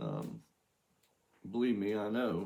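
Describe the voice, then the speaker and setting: A man's fairly low voice with an American accent at a very slow pace. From southern Ohio. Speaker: chef, home cooking channel host. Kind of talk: cooking tutorial. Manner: halting, many fillers.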